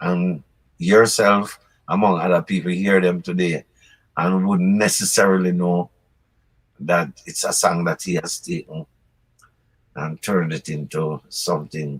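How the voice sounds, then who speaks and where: A man with a Jamaican accent, a very deep, low pitch, a fairly slow pace, fairly even intonation and long, frequent pauses, in a dry, close sound with no echo. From Jamaica, Clarendon. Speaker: reggae singer. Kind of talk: interview answer.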